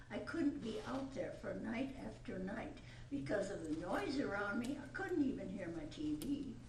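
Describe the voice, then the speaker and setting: Noticeable background noise and audible room echo surround a woman speaking at a fairly high pitch. She talks at a moderate pace with very wide pitch swings. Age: 80s+. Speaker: resident speaking at public hearing. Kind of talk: public comment at council meeting. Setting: city council meeting.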